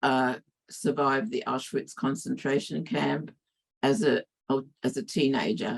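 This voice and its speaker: A woman speaks at a fairly slow pace with an Australian accent. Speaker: academic speaker. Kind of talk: interpreted talk.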